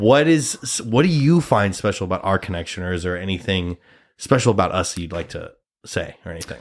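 Speaking fairly quickly with a Midwestern American accent, a man with a fairly low voice uses lively intonation and big swings in loudness, on a very clean recording with a silent background. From US Midwest, Nebraska. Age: 30s. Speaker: podcast host, actor. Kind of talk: casual chat.

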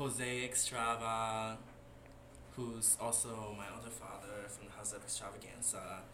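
Against noticeable background noise, a man talks at a fairly slow pace in a medium pitch with monotone, flat intonation. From Dominican Republic. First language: Spanish. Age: 20s. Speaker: dancer and model. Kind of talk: casual chat. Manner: soft-spoken.

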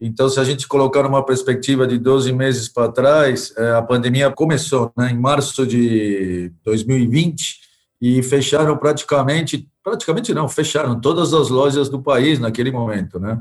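A man with a Spanish accent speaks at a moderate pace, his medium pitch rising and falling in an ordinary way. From Argentina. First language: Spanish (speaking Portuguese). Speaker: company director. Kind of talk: interview. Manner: halting.

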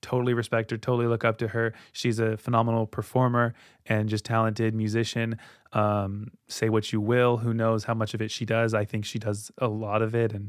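Fairly quick speech on a very clean recording with a silent background. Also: man, medium pitch for a man. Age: 20s. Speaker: solo podcast host. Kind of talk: casual monologue. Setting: recording studio. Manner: animated.

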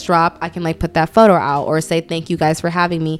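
Speaking very fast, a woman has a fairly low pitch. She talks with an American accent. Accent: New York with some Southern words. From Brooklyn, New York, some childhood in Atlanta. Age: 20s. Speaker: online magazine founder. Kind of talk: casual chat.

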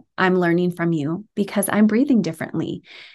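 The background is quiet. Pitch varies in an ordinary way. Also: woman. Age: 40s. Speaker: podcast host. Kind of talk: interview. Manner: animated.

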